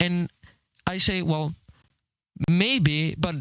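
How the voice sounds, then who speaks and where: The man's voice sits at a high pitch. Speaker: online debater. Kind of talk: heated debate. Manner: stuttering.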